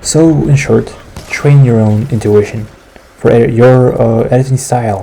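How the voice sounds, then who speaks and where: Fairly even intonation marks this man's medium-pitched speech. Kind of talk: casual video essay commentary. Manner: whispered.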